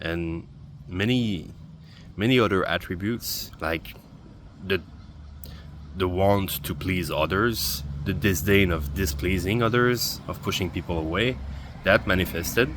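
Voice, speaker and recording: The speaker has a non-native accent and ordinary pitch variation. The pace is fairly slow, with long, frequent pauses. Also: man, very deep, low pitch for a man. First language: not English. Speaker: video journaling vlogger. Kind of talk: personal video journal monologue. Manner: halting, with repetitions.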